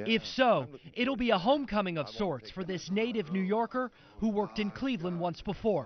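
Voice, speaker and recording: A man with a high pitch talks at a fairly quick pace. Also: lively intonation. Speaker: TV news reporter. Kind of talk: TV news report.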